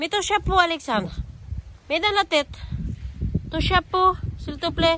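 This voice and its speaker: Speaking at a fairly slow pace, a woman uses a raised, projected voice with extremely high pitch and ordinary pitch variation. Her delivery has long, frequent pauses. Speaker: family vlogger. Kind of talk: casual vlog narration. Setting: outdoors at castle and church.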